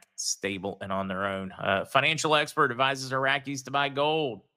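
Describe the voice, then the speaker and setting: In a very clean recording with a silent background, a man with a bright, sharp tone speaks at a medium pitch with ordinary pitch variation. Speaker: livestream host, currency news commentator. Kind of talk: live stream news commentary. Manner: fast; casual, many fillers.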